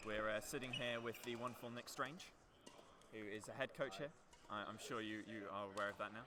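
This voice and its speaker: With audible room echo around him, a man speaks at a fairly quick pace, his medium-pitched voice keeping fairly even intonation. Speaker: student livestream commentator. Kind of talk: live commentary. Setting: courtside livestream. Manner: loud.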